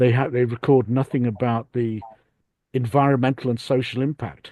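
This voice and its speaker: A man with a British accent speaks in a medium pitch. His tone is dark and mellow, and his intonation fairly even. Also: moderate pace, dry, close sound with no echo, quiet background. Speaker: audience member at online talk. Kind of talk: Q&A comment in online discussion. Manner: halting, many repetitions.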